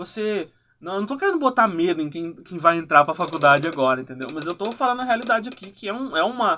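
A man's high-pitched voice at a very fast pace, with lively intonation and big swings in loudness. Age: 20s. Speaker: journalist. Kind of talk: interview. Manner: casual.

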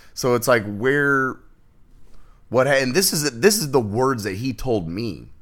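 A man with a normal speaking voice talks at a fairly slow pace. His intonation is lively. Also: medium pitch for a man. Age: 30s. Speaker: podcast guest. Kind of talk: casual chat.

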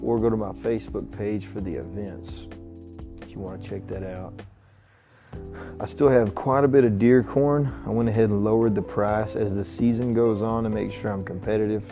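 Over music in the background, a man with a Texan accent speaks in a fairly low pitch with big swings in loudness. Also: ordinary pitch variation. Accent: Southern, Texan. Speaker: podcast host and musician. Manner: speaks slowly, drags his words.

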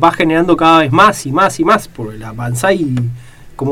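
This man has an unremarkable speaking voice, fairly high in pitch. He talks at a moderate pace with lively intonation. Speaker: radio host. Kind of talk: radio interview.

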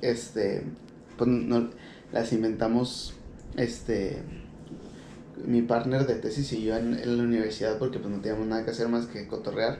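Speaking at a fairly slow pace with long, frequent pauses, a man with a Mexican accent is heard amid audible room echo. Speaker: podcast host. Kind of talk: casual monologue. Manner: halting, many fillers.

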